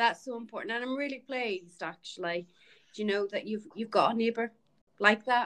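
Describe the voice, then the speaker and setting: Fairly high woman's voice in an Irish accent, at a fairly quick pace. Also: ordinary pitch variation. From Ireland. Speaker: podcast host. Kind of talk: casual chat.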